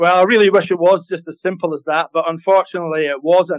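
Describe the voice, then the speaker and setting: Speaking at a fairly quick pace, a man with a high pitch keeps fairly even intonation in a dry, close sound with no echo. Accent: Scottish. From Scotland, Highlands. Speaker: executive chef. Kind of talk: interview.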